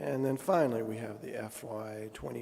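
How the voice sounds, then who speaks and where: Audible room echo around a man talking at a fairly low pitch. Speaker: mayor chairing city council meeting. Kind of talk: council meeting chairing.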